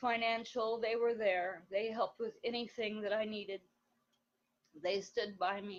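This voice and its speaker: A woman talks at a fairly high pitch. Her intonation stays monotone and flat. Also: moderate pace. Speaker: organization member giving testimonial. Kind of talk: testimony. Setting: live video stream. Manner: quiet; hesitant, filler words.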